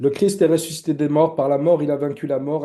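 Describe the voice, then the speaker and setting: His tone is mellow and dark. The man keeps his intonation fairly even. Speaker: church teacher. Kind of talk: lecture. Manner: hesitant, many fillers.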